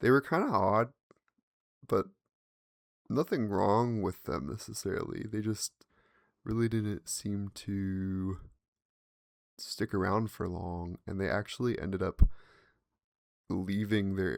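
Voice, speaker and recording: Mumbled, fairly slow speech with long, frequent pauses, ordinary pitch variation and a dry, close sound with no echo. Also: man, fairly low pitch for a man. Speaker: podcast host. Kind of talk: casual monologue. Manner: mumbling; animated.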